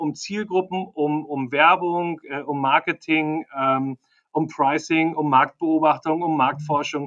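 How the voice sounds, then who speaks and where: Recorded dry and close with no echo over a quiet background, a man speaks at a fairly high pitch and fairly slow pace, his tone bright and sharp and his intonation fairly even. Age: 50s. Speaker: marketing and sales executive. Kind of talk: interview. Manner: halting, many fillers.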